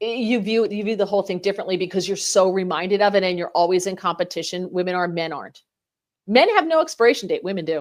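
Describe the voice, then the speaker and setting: The delivery is animated and very fast, in an American accent. The recording is very clean, with a silent background. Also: woman, medium pitch for a woman, ordinary pitch variation. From New Jersey. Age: 40s. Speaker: fill-in radio host. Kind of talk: talk radio.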